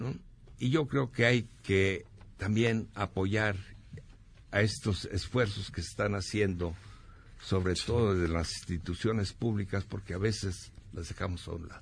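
A man speaks at a fairly slow pace, somewhat breathy and fairly low in pitch. His loudness swings a lot. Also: ordinary pitch variation. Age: 70s. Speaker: former student activist and journalist. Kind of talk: radio interview.

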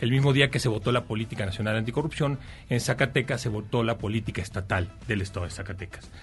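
Speaking at a very fast pace, a man uses a medium pitch with ordinary pitch variation. His voice is somewhat breathy. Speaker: government official. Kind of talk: interview. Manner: formal.

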